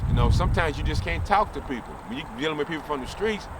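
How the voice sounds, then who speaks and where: A man with a fairly high pitch and ordinary pitch variation talks over noticeable background noise. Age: 60s. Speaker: former street fighter. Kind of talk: interview storytelling.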